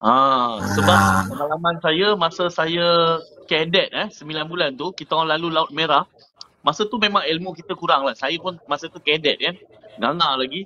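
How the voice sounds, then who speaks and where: With lively intonation and big swings in loudness, a man speaks in a plain, everyday voice at a fairly high pitch and moderate pace over light background noise. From Malaysia, Kuantan Pahang; Malaysia. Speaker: merchant navy officer; guest. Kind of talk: casual chat. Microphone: video call.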